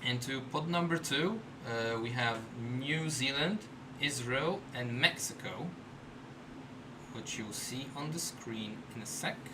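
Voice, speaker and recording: A man at medium pitch with ordinary pitch variation, speaking at a very slow pace with long, frequent pauses, amid noticeable background noise and audible room echo. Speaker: livestream host. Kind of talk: live draw presentation. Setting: live stream.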